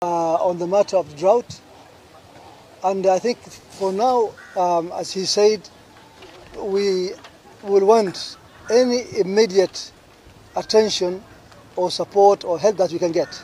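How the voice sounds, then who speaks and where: Over light background noise, with a dry sound and no echo, a man speaks very slowly in a high pitch with ordinary pitch variation and long, frequent pauses. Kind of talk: press statement. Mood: serious, urgent appeal. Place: garden. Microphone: podium.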